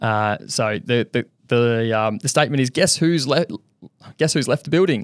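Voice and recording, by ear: With an Australian accent, a man speaks at a fairly quick pace, medium pitch and ordinary pitch variation, the sound dry and close with no echo and the recording very clean with a silent background.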